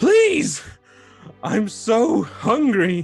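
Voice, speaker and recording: A man puts on a high-pitched character voice over faint background music. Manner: pleading.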